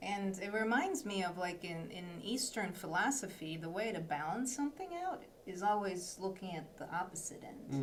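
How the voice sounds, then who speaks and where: Over noticeable background noise, a woman speaks at a moderate pace and medium pitch with ordinary pitch variation and hardly any pauses. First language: not English. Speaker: webinar host. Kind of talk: interview.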